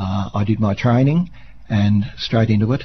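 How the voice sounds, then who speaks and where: Medium pitch from a man with an Australian accent, somewhat breathy, at a fairly slow pace. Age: 60s. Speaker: volunteer radio presenter and harmonica player. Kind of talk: radio interview. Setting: radio studio.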